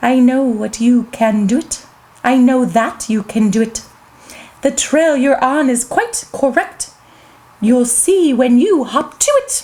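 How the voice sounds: A woman's put-on character voice, high-pitched and hissing, at a fairly slow pace.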